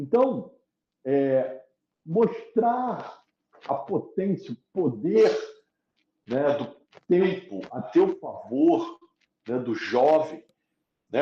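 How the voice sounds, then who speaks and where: A man is speaking. He leaves long, frequent pauses. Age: 60s. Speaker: economics professor. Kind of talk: interview conversation.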